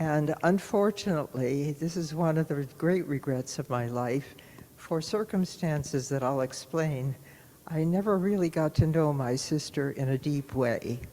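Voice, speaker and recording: Her voice is very deep and low with a dark, mellow tone, and this woman speaks at a fairly slow pace with ordinary pitch variation. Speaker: longtime congregation member sharing life story. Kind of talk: testimony. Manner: halting.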